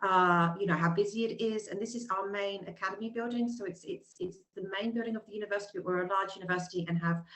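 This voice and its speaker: Very fast and with hardly any pauses, a woman speaks with a British accent, a medium pitch, and fairly even intonation. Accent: British, noticeable. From England, London. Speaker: university representative. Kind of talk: webinar presentation. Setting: video call webinar. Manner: hesitant, many fillers.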